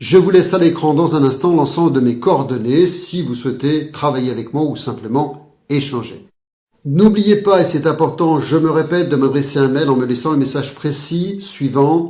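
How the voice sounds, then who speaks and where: A man with a dark, mellow tone and fairly high pitch speaks at a moderate pace with ordinary pitch variation. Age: 50s. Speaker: hypnotherapist. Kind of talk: sales pitch. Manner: formal.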